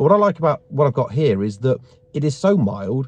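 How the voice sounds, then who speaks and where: A man with very wide pitch swings at a fairly quick pace, dry with no echo. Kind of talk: casual vlog chat. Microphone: phone near.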